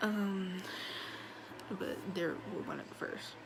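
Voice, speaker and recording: A woman's quiet voice at a fairly slow pace, with audible room echo and noticeable background noise. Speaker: vlogger. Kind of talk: casual monologue vlog. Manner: quiet, low volume; dull, low energy.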